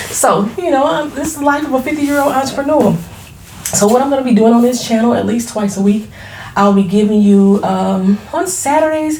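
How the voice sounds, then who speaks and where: A high-pitched woman at a fairly quick pace, animated in tone with lively intonation, amid noticeable background noise and audible room echo. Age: 40s. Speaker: beauty entrepreneur and YouTuber. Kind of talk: casual vlog introduction. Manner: fast.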